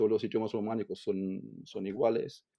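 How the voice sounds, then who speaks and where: A man speaks with a German accent. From Germany. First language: German (speaking Spanish). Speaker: language teacher. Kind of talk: interview. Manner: halting, with frequent repetitions.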